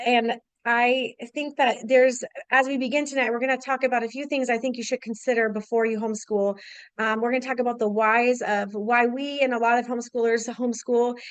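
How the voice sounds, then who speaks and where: The speech moves at a fairly quick pace with monotone, flat intonation against a quiet background. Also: woman, high pitch for a woman. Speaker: homeschool speaker. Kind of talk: webinar presentation. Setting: online webinar. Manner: fast.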